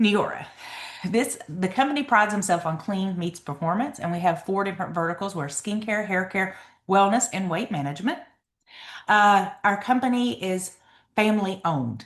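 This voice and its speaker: A woman's somewhat breathy, medium-pitched voice in an Eastern Kentucky accent, lively in intonation and moderate in pace. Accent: Eastern Kentucky Appalachian. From Eastern Kentucky mountains. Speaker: network marketing seller. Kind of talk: sales presentation. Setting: video call with screen share.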